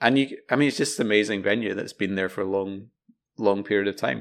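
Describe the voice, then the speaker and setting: A man's fairly low-pitched voice in a Glaswegian accent, at a fairly quick pace, on a very clean recording with a silent background. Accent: Glaswegian, South Side. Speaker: podcast co-host. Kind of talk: casual chat.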